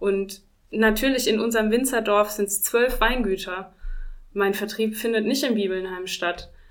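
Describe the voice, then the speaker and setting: A woman's normal speaking voice, fairly high in pitch, at a moderate pace with fairly even intonation. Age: 40s. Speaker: winemaker. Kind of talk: interview.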